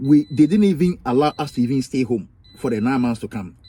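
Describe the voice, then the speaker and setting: A man with a Ghanaian accent speaks at a medium pitch and a very fast pace. His tone is animated and his intonation lively. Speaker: YouTube vlogger. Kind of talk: personal vlog storytelling. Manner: animated, repetitive; halting.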